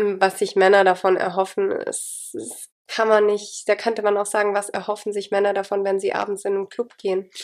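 With monotone, flat intonation, a woman talks at a medium pitch. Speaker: podcast host. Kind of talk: casual chat. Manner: low energy.

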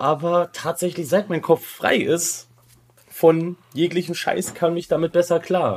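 Very slowly and in a flat monotone, a man talks with a high-pitched voice. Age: 30s. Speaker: podcaster. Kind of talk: casual chat.

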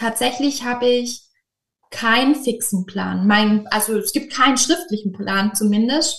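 Here a woman speaks at a fairly high pitch. She keeps a fairly slow pace. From southern Germany, near Stuttgart (Swabia). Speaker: kindergarten teacher. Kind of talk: interview.

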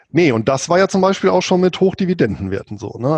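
A man speaks in a dark, mellow tone, recorded with a dry, close sound and no echo. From Rhineland, Germany (Bonn), Spanish roots. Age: 40s. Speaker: finance blogger and author. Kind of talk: interview.

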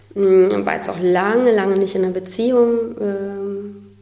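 Audible echo fills the room while noticeable noise lingers in the background. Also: woman. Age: 30s. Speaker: singer-songwriter. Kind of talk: interview. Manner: hesitant with many fillers.

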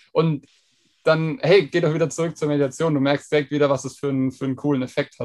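A man talks at a very fast pace with a monotone, flat intonation. His pitch sits fairly high for a man. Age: 20s. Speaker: app founder. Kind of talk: podcast interview.

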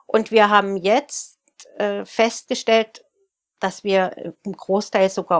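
Speaking very slowly, a woman uses a medium pitch. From Saxony, Germany (Freiberg). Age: 40s. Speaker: baker and bakery owner. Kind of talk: interview.

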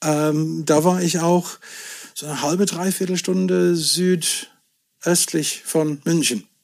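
Very slowly, a man speaks in a fairly high voice with ordinary pitch variation. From Scotland. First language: English (speaking German). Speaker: whisky merchant. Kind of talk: casual chat.

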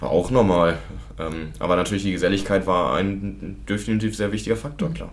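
A man with a fairly low voice and vocal fry talks at a fairly quick pace with lively intonation, and room echo is audible. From Lower Saxony, Germany. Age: 20s. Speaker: student recovering from alcohol problem. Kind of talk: testimony.

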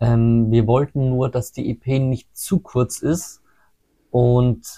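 With ordinary pitch variation, this man's delivery comes across as somewhat breathy. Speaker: metal singer and sound engineer. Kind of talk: casual interview.

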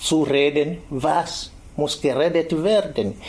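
Speaking at a very slow pace, a man with an East African accent uses a fairly high pitch. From Tanzania, Kilimanjaro region. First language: Swahili (speaking German). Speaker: activist and teacher. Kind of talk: interview.

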